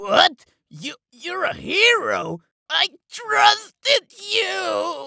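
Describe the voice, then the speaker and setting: A cartoonish character voice at a very slow pace, with long, frequent pauses. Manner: eager, indignant.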